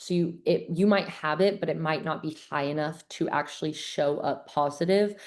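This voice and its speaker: A woman speaks with a very deep, low pitch at a moderate pace. Her intonation stays fairly even over a quiet background. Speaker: gut health coach. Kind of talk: online webinar presentation. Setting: video call. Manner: casual, filler-heavy.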